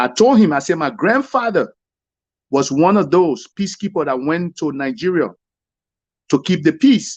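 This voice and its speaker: In a Liberian accent, a man speaks at a moderate pace with long, frequent pauses and a quiet background. His pitch is high and swings very widely. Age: young. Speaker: caller. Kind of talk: heated debate. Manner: animated.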